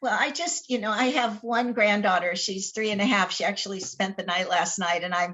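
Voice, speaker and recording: Using a plain, everyday voice, a woman talks at a fairly quick pace with a medium pitch and ordinary pitch variation. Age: 60s. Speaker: talk show host. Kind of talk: casual chat.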